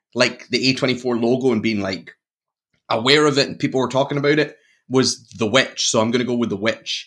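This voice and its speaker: A man with a Glaswegian accent talks at a fairly quick pace with ordinary pitch variation. The recording is very clean, with a silent background. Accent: Glaswegian Scottish. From Scotland, Glasgow. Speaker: horror podcast host. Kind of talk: casual chat.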